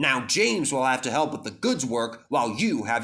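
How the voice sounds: Natural reading voice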